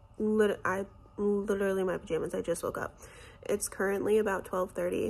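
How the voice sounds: A woman's hoarse, raspy put-on character voice at medium pitch and a fairly quick pace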